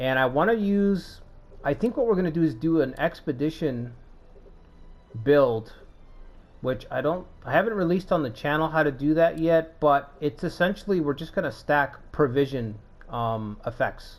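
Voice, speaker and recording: A man's fairly high-pitched voice rises and falls with lively intonation while music plays in the background. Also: moderate pace. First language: not English. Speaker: gaming YouTuber. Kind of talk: gameplay commentary. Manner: casual, hesitant with fillers.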